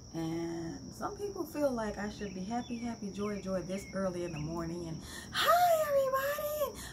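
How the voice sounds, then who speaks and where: Big swings in loudness mark a woman's moderately paced speech, heard over noticeable background noise. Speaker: holistic healer and meditation guide. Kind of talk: casual talk introducing a meditation. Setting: outdoors facing woods. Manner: quiet, calm.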